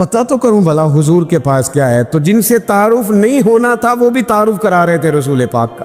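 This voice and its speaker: A man speaks at a high pitch, swinging it very widely. Music plays in the background. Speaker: Islamic preacher. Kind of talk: Islamic sermon (bayan) with storytelling. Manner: emotive, preaching.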